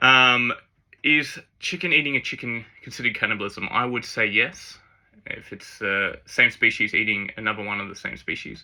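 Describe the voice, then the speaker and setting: In a bright, sharp tone, a man speaks at medium pitch with ordinary pitch variation. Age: 30s. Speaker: fitness vlogger. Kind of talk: casual Q&A vlog. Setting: speaking to camera. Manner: fast; sometimes jumbles words.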